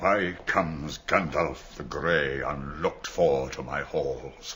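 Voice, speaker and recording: Over clear background noise, a man uses a put-on character voice pitched very deep and low. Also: fairly slow pace. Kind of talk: archaic royal speech. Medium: audio drama.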